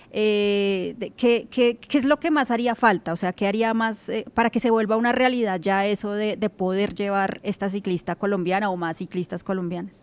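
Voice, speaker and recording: A woman's voice at medium pitch, an ordinary speaking voice, with ordinary pitch variation, a moderate pace and hardly any pauses. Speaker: cycling show host. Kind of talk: interview.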